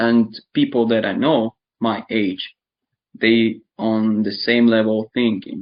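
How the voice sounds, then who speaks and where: A man with a medium pitch talks in a monotone, flat way. His pace is very slow. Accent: Eastern European. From Ukraine (born in Donetsk region). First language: Russian. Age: 20s. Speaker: interviewee describing war experience. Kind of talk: casual chat. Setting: online video chat.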